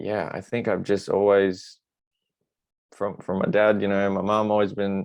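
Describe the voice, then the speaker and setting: A man's fairly low voice in a flat monotone, with an Australian accent. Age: 20s. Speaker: actor. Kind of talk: interview answer. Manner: soft-spoken.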